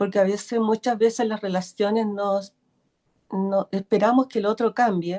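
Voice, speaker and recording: Her tone is dark and mellow, and she speaks at a fairly slow pace. The woman's sound is dry and close, with no echo. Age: 60s. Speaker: workshop participant. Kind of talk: casual chat. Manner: halting.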